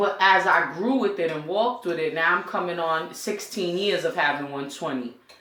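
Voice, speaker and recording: With an American accent and ordinary pitch variation, the speaker moves at a moderate pace amid audible room echo. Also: woman. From New York City (Brooklyn, Coney Island). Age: 30s. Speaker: community teacher. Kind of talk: interview. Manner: casual.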